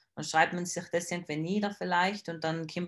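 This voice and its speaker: A woman speaks in a flat monotone at a fairly low pitch. The recording is very clean, its background silent. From South Tyrol, Italy. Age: 20s. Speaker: bodybuilding athlete. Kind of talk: casual interview.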